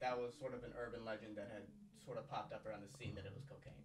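With audible room echo and noticeable background noise, a man speaks with fairly even intonation. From immigrant family, US. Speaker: podcast host, comedian. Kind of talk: podcast intro and casual interview.

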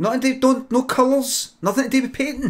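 This man talks at a moderate pace. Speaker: live streamer, comedian. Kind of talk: improv comedy stream chat. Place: home room.

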